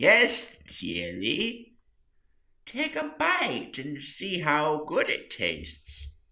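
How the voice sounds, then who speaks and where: A man puts on a character voice and delivers it at a very slow pace. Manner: sweetly sinister.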